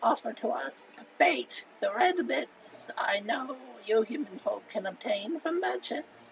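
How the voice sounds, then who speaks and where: This is a put-on character voice. Clear background noise can be heard. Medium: solo performance. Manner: formal, flowery, polite.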